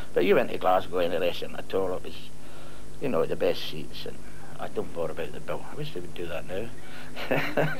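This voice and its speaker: Moderately paced speech from a man amid noticeable background noise. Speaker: former footballer. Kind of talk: reminiscing interview. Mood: nostalgic, fond reminiscing.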